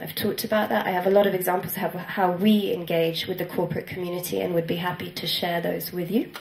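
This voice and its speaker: A woman with a medium pitch and ordinary pitch variation talks at a very fast pace over noticeable background noise. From Italy. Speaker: social entrepreneur. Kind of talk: conference talk.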